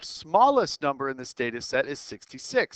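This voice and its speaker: The voice moves at a moderate pace, with a dry, close sound and no echo. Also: man. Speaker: math teacher. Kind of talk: tutorial.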